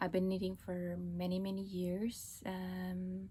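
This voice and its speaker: A woman's medium-pitched, somewhat breathy voice at a very slow pace. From Estonia, Pärnu. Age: 40s. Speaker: knitting podcaster. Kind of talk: casual vlog talk. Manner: casual with frequent fillers.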